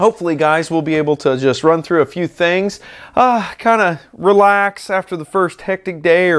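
A man at a moderate pace with ordinary pitch variation over a quiet background. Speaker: maker channel host. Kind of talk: casual vlog chat. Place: workshop. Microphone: lapel.

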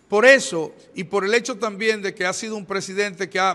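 The voice is raised and projected, with a bright, sharp tone. It moves at a fairly quick pace with fairly even intonation. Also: man. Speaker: pastor giving press statement. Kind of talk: press statement. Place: hall.

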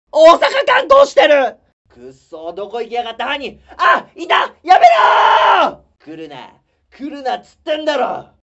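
A man shouts in a put-on character voice at an extremely high pitch. His pace is moderate. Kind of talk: comedy sketch performance. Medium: stage. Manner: loud, exasperated.

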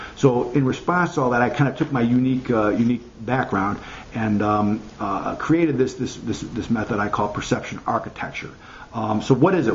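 Speaking fairly quickly with an American accent, a man shows ordinary pitch variation against light background noise. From US Midwest, Chicago. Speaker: marketing consultant. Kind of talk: tutorial. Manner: halting, many fillers. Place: home room. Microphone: webcam.

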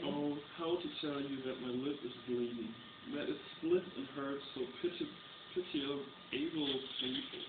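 Over loud background noise, a man with a fairly high pitch speaks at a fairly slow pace, his pitch varying in an ordinary way, with long, frequent pauses. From Germany. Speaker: reader. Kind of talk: poetry reading. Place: home room. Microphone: webcam.

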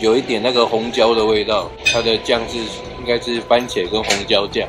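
Clear music sits in the background. The words come at a moderate pace. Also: man. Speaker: travel vlogger. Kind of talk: casual vlog chat. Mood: cheerful. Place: cafe.

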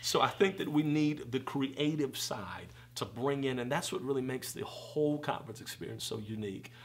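A man at a fairly quick pace with hardly any pauses. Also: ordinary pitch variation. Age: 30s. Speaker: preacher and conference founder. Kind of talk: casual interview. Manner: animated. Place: home room.

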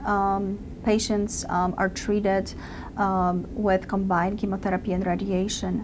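Against noticeable background noise, the speech moves along at a moderate pace. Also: woman. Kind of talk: interview answer. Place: office.

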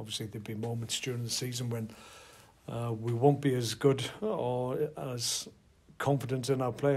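Somewhat breathy, a man speaks at a moderate pace with monotone, flat intonation. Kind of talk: interview answer. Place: hall. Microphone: handheld.

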